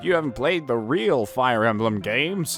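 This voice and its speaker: Over clear music in the background, a man at a medium pitch performs a put-on character voice. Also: moderate pace. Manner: exaggerated.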